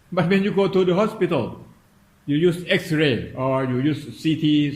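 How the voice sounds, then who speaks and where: At a very slow pace, a man speaks with a somewhat breathy voice and ordinary pitch variation. Audible room echo surrounds him. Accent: non-native. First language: Thai. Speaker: meditation teacher. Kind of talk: dharma talk. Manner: halting.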